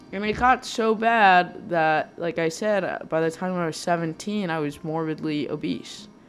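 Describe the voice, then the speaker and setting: With music playing in the background, a woman with a fairly low pitch speaks at a fairly slow pace, with ordinary pitch variation and hardly any pauses. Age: 20s. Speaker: podcast host. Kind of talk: personal monologue. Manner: halting.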